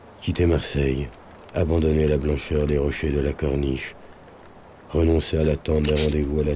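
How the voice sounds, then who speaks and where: At a moderate pace, a man speaks with a very deep, low pitch and monotone, flat intonation. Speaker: actor. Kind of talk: documentary voice-over narration.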